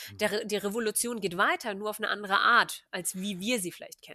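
A woman's fairly high, bright, sharp voice at a moderate pace, dry and close with no echo, on a very clean recording with a silent background. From Germany, Hannover. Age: 20s. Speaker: activist and economics doctoral student. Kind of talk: casual interview.

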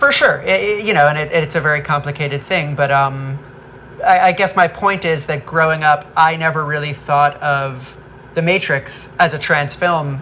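At a moderate pace and with fairly even intonation, the voice comes through over noticeable background noise. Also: woman, very deep, low pitch for a woman. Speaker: film director. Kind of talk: interview.

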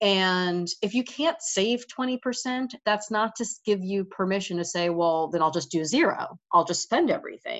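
With an American accent, a woman talks in an ordinary speaking voice at medium pitch, her lively intonation carried at a moderate pace with hardly any pauses. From New York. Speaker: financial advisor. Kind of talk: interview.

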